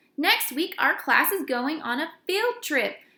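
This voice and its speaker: A woman puts on a character voice, raised and projected at an extremely high pitch. She speaks at a fairly slow pace. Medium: read story. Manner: enthusiastic.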